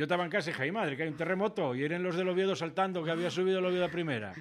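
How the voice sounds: A man with an Asturian accent, fairly high-pitched and fast-paced.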